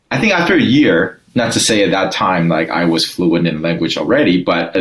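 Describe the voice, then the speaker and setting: Amid noticeable background noise, a man with a very deep, low pitch talks at a fairly quick pace. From Taiwan, moved to Southern California at thirteen. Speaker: sales and business leader. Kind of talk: interview. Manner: halting, many fillers and restarts.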